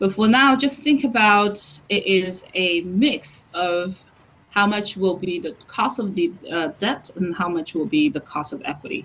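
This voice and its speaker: At a fairly slow pace, a woman at medium pitch talks in a plain, everyday voice with lively intonation. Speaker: university finance lecturer. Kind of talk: online lecture. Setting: online class, students muted.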